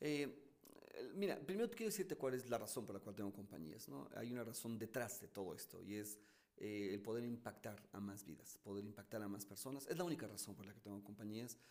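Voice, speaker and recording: Animated in tone, a man with a fairly low pitch speaks at a fairly quick pace, with ordinary pitch variation and big swings in loudness. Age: 50s. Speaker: motivational speaker and entrepreneur. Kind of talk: interview.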